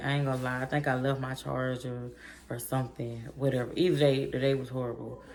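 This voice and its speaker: Speaking at a fairly quick pace, a woman uses a very deep, low pitch. Audible room echo and noticeable background noise surround her voice. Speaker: vlogger. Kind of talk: storytime vlog. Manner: fast; animated.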